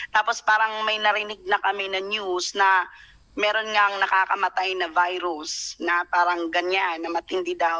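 A woman talks at a fairly slow pace and a medium pitch. Her tone is bright and sharp. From Philippines, Bohol (Tagbilaran); Philippines. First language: Cebuano (Bisaya) (speaking Tagalog). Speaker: overseas Filipino worker. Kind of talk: live online interview. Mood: earnest, recounting hardship. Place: home room. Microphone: video call.

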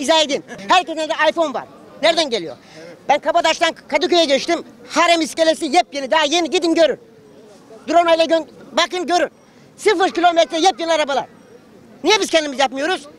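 A man with an extremely high pitch and ordinary pitch variation speaks very fast yet with long, frequent pauses, in a dry sound with no echo. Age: 60s. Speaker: street interviewee; interviewee. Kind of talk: street interview. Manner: animated. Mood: indignant, arguing. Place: street. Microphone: handheld.

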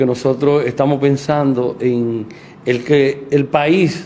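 Over noticeable background noise, a man with a fairly high pitch speaks at a very slow pace with fairly even intonation. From Dominican Republic, Puerto Plata area. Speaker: local politician. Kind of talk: interview.

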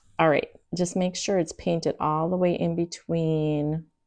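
A woman uses an ordinary speaking voice at a fairly low pitch and a moderate pace. The background is quiet. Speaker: craft live streamer. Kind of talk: casual tutorial chat. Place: home room. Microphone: lapel.

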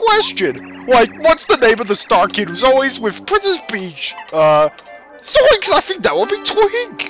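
Clear background music behind a fairly slow, put-on character voice. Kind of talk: exaggerated game-show host. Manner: goofy, enthusiastic, cartoonish.

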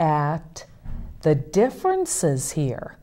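Against a quiet background, the speaker talks at a very slow pace with an American accent. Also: woman. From western Pennsylvania. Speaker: author; talk show guest. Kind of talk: casual interview. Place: studio.

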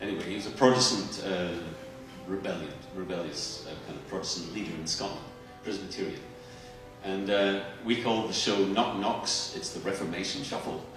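Clear music plays behind a man with a fairly low pitch and ordinary pitch variation, his loudness swinging widely amid audible room echo. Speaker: guest. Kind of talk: stage interview answer. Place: stage.

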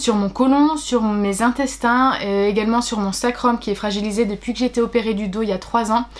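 Her pace is fairly quick. This woman keeps her intonation fairly even. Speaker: pregnancy vlogger. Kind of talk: casual vlog chat. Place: home room. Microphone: phone near.

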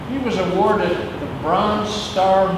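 Strong room echo and noticeable background noise accompany speech at a fairly slow pace. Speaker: former firefighter. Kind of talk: tribute speech. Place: garage.

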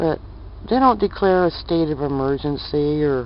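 A woman's very deep, low voice at a fairly slow pace, dry with no echo, over light background noise. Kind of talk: casual vlog chat. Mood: opinionated, matter-of-fact. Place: street. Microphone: phone near.

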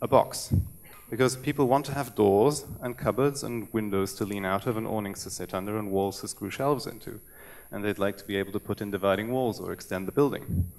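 Pitch variation is ordinary as a man talks at a fairly quick pace. His voice sits fairly low. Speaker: web developer. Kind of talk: conference talk. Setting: stage with audience. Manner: fast. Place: stage. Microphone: podium.

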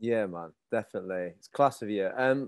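A man with a northern English accent talks at a moderate pace against a quiet background. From northern England. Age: 30s. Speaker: podcast host, men's mental health group founder. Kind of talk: casual interview chat. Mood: warm, appreciative. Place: home room. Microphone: earbuds.

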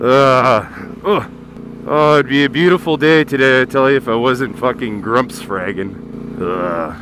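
Through noticeable background noise, a man speaks fairly slowly at a medium pitch with very wide pitch swings, in a dry sound with no echo. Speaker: motorcycle vlogger. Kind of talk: casual motovlog commentary while riding. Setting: outdoors on a motorcycle, helmet headset. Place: motorbike. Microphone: helmet.

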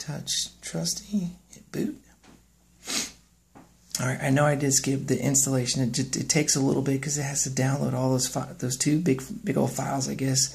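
Vocal fry runs through a man's voice as he speaks at a moderate pace with ordinary pitch variation. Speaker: tech YouTuber. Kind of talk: tutorial screen walkthrough. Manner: casual. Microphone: phone near.

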